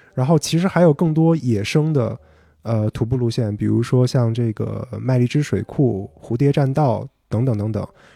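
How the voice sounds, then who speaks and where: Against a quiet background, a man with a dark, mellow tone speaks at a moderate pace and medium pitch, with ordinary pitch variation. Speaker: PhD candidate. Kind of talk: casual chat.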